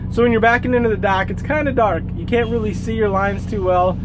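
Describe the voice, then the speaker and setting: A man's voice over noticeable background noise. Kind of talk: casual vlog chat. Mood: upbeat, positive. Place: car. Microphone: phone near.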